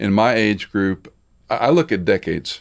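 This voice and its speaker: A normal speaking voice, with ordinary pitch variation, proceeds at a moderate pace in a very clean recording against a silent background. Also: man. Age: 60s. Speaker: podcast host and pastor. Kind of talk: casual chat.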